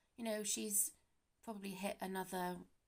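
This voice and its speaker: With a British accent, the speaker moves at a fairly slow pace. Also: woman. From Britain. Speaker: YouTuber. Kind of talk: casual talk to camera. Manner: hesitant.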